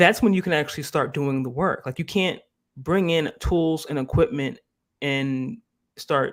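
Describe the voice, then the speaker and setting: With an American accent and a normal speaking voice, a man talks at a moderate pace in a fairly high pitch with ordinary pitch variation, on a very clean recording with a silent background. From US Northeast, Philadelphia. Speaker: live stream host. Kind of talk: casual live stream discussion.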